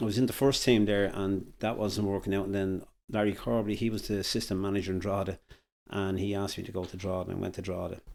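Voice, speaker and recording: A man with a Dublin accent talks at a very fast pace in a fairly low pitch, in a very clean recording with a silent background. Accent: Irish (Dublin). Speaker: former football manager. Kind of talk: podcast interview. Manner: halting.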